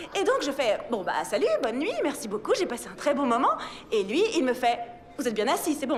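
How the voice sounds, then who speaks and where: Noticeable background noise beneath a moderately paced voice with very wide swings in pitch. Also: woman. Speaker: voice actor. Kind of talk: comedic monologue. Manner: casual, comedic, chatty.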